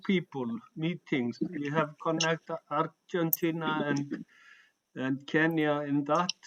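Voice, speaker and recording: A man with a non-native accent speaks at a very slow pace with fairly even intonation, recorded dry and close with no echo. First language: not English. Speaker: humanist organization member. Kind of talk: online meeting discussion. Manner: halting.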